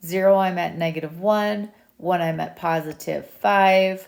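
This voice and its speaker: This is a woman speaking in a normal speaking voice. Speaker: math teacher. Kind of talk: tutorial. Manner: casual.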